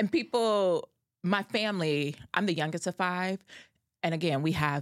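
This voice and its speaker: A woman's unremarkable speaking voice, an unremarkable speaking voice, fairly low in pitch at a moderate pace, with a dry, close sound with no echo and a very clean recording, silent background. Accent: American. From Cincinnati, Ohio. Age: 30s. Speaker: guest, self-employed. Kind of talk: casual chat.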